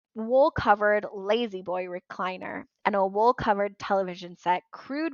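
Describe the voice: The voice is plain reading aloud with ordinary pitch variation and a quiet background.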